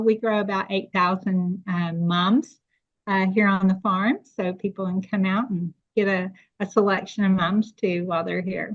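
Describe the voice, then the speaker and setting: Speaking at a moderate pace, a woman with a slight East Tennessee accent uses a medium pitch and fairly even intonation. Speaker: farmer. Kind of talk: podcast interview.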